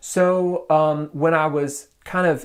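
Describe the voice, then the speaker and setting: This is a man speaking with an American accent. The recording is very clean, with a silent background. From US South, Nashville suburbs, Tennessee. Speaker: graphic artist. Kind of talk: interview.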